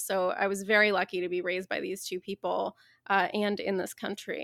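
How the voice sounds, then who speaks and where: A woman's medium-pitched voice in a Midwestern accent, monotone and flat, at a moderate pace, with a dry, close sound, no echo and a very clean, silent background. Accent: General American (Midwest). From US Midwest, Dayton, Ohio. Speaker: author and activist. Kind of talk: interview conversation.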